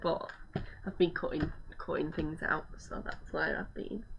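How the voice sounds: A woman speaks low-pitched with vocal fry. Her pace is fairly slow and her intonation fairly even.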